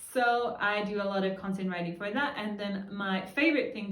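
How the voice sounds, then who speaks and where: With noticeable background noise and audible room echo, a woman speaks in a fairly even intonation. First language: Danish. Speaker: freelancer and vlogger. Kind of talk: casual tutorial vlog.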